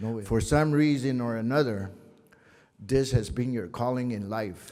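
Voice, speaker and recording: Through audible room echo, a man with a New Mexico accent speaks at a fairly slow pace in a medium pitch, his tone dark and mellow with ordinary pitch variation. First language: Tewa. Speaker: faith leader giving invocation. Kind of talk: invocation.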